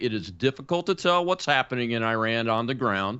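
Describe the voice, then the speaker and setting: In an ordinary speaking voice, this man keeps a moderate pace and ordinary pitch variation. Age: 60s. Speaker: talk show host, retired air force colonel. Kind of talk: scripted monologue; interview.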